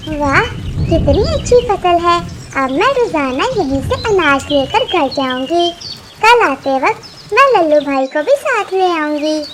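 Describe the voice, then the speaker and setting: Over clear background noise, a woman does a cartoonish character voice at an extremely high pitch with very wide pitch swings, at a fairly slow pace. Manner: polite, meek.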